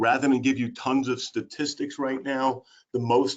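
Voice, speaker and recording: Enthusiastic in tone, a man with a strong Brooklyn accent speaks at a moderate pace with ordinary pitch variation. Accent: heavy Brooklyn. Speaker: special education and employment specialist. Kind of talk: webinar presentation.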